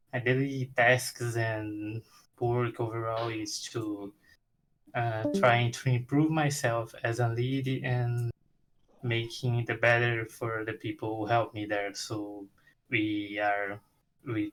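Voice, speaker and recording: Speaking at a very slow pace, a man uses a medium pitch and fairly even intonation. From Brazil. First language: Portuguese. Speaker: game audio freelancer. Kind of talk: casual self-introduction in group video call. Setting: video call. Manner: halting.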